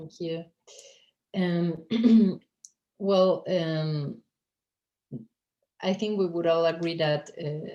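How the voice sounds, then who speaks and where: The speech comes in a Spanish accent at a very slow pace. Long, frequent pauses break it up. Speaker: poet and translator. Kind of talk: panel Q&A answer. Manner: halting, many fillers.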